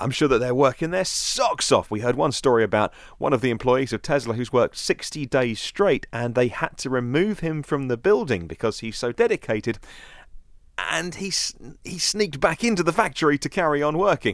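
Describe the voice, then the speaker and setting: A man with a British accent and a fairly high pitch talks at a fairly quick pace with very wide pitch swings, on a very clean recording with a silent background. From London, UK. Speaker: podcast host. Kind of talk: news podcast commentary. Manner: casual, conversational.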